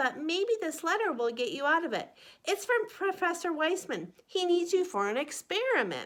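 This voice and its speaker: A woman's put-on character voice, extremely high with very wide pitch swings, at a moderate pace on a very clean recording with a silent background. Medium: read story.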